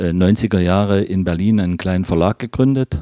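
Captured dry and close with no echo on a very clean recording with a silent background, a man speaks at a fairly low pitch with ordinary pitch variation. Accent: Saxon. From Leipzig, Saxony (eastern Germany). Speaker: fountain pen repairer. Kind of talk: interview. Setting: workshop. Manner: relaxed.

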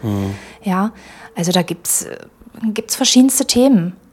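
A woman's somewhat breathy, medium-pitched voice moves at a moderate pace. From Magdeburg, eastern Germany. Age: 40s. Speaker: employment agency career adviser. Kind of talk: casual interview. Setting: studio.

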